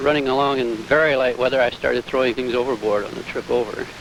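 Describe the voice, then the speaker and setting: Noticeable background noise runs through this clip. In it, a man talks. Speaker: solo transatlantic sailor. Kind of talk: interview answer.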